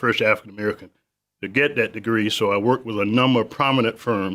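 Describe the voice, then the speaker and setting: A man with a Southern US accent at a very fast pace, his intonation fairly even. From South Carolina. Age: 70s. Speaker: business owner. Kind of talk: interview. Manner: halting.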